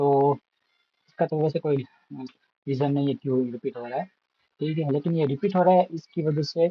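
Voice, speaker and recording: Somewhat breathy, a man with a fairly high pitch speaks at a moderate pace. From India, Gujarat. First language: Gujarati (speaking Hindi). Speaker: math tutor. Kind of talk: tutorial. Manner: casual, with fillers.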